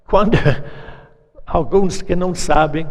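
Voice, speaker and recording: A man talks very slowly in a high voice, with ordinary pitch variation. Noticeable background noise and audible room echo fill the recording. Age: 80s+. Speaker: preacher. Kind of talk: sermon.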